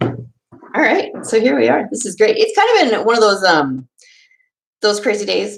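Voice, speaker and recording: Someone speaks with an animated tone and a Minnesota accent at a fairly slow pace. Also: woman. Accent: Minnesota accent, long O's. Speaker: homesteading podcaster and YouTuber. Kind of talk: casual live stream chat. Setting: live stream on webcam. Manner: animated, chatty.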